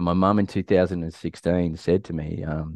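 A man with a very deep, low pitch and an Australian accent speaks in a dry, close sound with no echo and a quiet background. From Australia (rural Victoria). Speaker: community leadership advocate and former soldier. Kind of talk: casual interview, personal story. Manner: animated.

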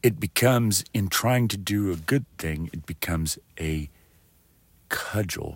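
A man with a very deep, low voice and an American accent speaks at a fairly slow pace with lively intonation and long, frequent pauses, on a very clean recording with a silent background. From West Texas. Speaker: military veteran; podcaster. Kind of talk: monologue.

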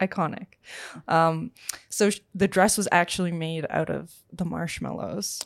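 A woman with a fairly low voice and vocal fry speaks at a fairly slow pace with fairly even intonation, on a very clean recording with a silent background. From Finland and Singapore, third-culture kid. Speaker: singer-songwriter. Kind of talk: casual chat.

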